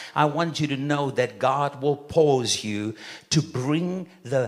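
A man with a fairly high pitch and ordinary pitch variation talks against noticeable background noise. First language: not English. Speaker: guest preacher. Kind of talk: sermon. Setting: church. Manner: animated.

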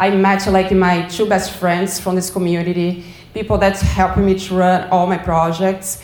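With a Portuguese accent, a woman speaks at a moderate pace and medium pitch in a monotone, flat intonation. Background noise is noticeable. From Brazil. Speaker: community cycling advocate. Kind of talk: presentation. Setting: stage with audience.

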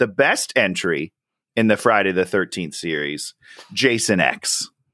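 A man talks at a fairly slow pace in a bright, sharp tone, his pitch swinging very widely. The sound is dry and close with no echo, and the recording is very clean with a silent background. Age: 30s. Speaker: podcast co-host, movie reviewer. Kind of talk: casual chat.

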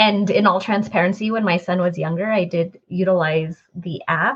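A woman talks fairly slowly in a somewhat breathy voice with ordinary pitch variation. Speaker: podcast host. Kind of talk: interview conversation.

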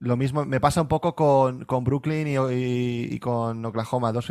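Speaking at a medium pitch, a man has an unremarkable speaking voice and fairly even intonation. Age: 30s. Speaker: podcast co-host. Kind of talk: casual chat.

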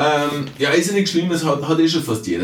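A man speaks at a fairly quick pace with ordinary pitch variation, with audible room echo and noticeable background noise. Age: 40s. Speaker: time management coach and author. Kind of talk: podcast monologue. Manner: conversational with frequent fillers.

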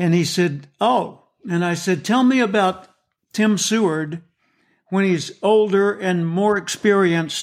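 In a very clean recording with a silent background, a man with an American accent speaks at a fairly slow pace in a high pitch with ordinary pitch variation. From US South. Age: 70s. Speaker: motivational speaker and author. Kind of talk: interview.

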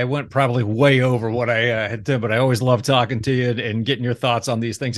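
A man with an American accent talks at a very fast pace. His pitch sits in the medium range. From Ohio, US Midwest. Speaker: chamber of commerce podcast host. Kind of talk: podcast interview.

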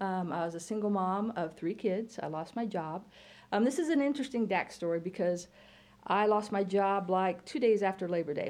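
A woman speaks with an American accent. Hers is an unremarkable speaking voice at medium pitch. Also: ordinary pitch variation, moderate pace. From Illinois. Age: 50s. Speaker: college computer science teacher. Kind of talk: casual interview.

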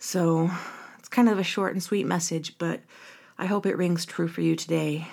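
A woman with a plain, everyday voice speaks at a moderate pace and fairly low pitch, her loudness swinging widely. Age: 30s. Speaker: podcast host. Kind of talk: solo podcast monologue. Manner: warm, upbeat.

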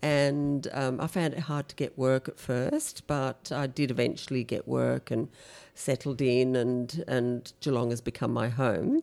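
A woman speaks at a very deep, low pitch and a fairly slow pace, in a dark, mellow tone with fairly even intonation. The recording is very clean, with a silent background. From East and South Africa, British parents. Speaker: optical shop owner. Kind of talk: interview. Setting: office at the back of the shop.

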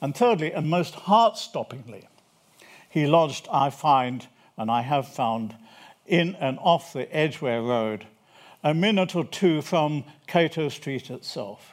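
In a very clean recording with a silent background, a man with a British accent speaks fairly slowly at a fairly high pitch. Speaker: historian. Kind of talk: lecture. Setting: stage with audience. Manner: formal.

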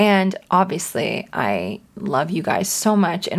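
A woman's medium-pitched voice with vocal fry. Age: 20s. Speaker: podcast host. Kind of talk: casual monologue.

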